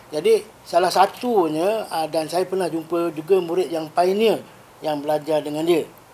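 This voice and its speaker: A man speaks at a moderate pace in a high pitch with fairly even intonation. There is noticeable background noise. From Malaysia, Negeri Sembilan. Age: 60s. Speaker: Islamic spiritual healer. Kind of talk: podcast interview.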